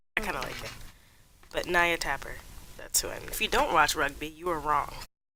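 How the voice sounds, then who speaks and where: Quiet and at a fairly quick pace, a woman speaks with big swings in loudness. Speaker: gaming streamer. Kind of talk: casual gameplay commentary. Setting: home, early morning. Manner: lowered voice, quieter.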